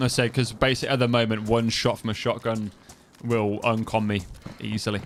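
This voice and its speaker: With noticeable background noise behind him, a man with an East Midlands accent speaks at a moderate pace, medium pitch and monotone, flat intonation. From East Midlands, England (Kettering, Northamptonshire). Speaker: gaming streamer. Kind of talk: live gameplay stream commentary. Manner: casual, rambling.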